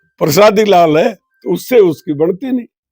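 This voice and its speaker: High-pitched male speech with normal rises and falls in pitch. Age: 70s. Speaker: politician, former minister. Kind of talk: interview.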